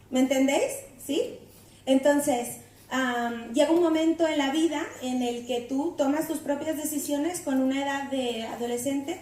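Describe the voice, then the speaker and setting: Audible room echo surrounds a woman with a Mexican accent and a high pitch. She speaks at a fairly slow pace with ordinary pitch variation and a dark, mellow tone. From Mexico, Mexico City. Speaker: guest preacher. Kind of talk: sermon. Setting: church. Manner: halting, many fillers.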